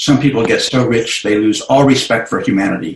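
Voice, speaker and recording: This man's voice is somewhat breathy, sitting at a medium pitch with ordinary pitch variation. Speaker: meditation teacher. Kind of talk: guided meditation. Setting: video call.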